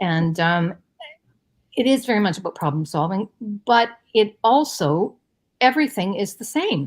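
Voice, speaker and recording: A woman at a medium pitch sounds somewhat breathy, her voice moving in very wide pitch swings and broken by long, frequent pauses. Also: moderate pace. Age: 60s. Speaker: artist. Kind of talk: interview. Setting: live stream. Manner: halting.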